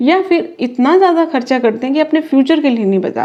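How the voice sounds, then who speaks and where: The voice has a calm tone and lively intonation. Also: woman. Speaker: reiki master and tarot card reader. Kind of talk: tarot reading, spiritual guidance to camera. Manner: calm, explanatory, conversational.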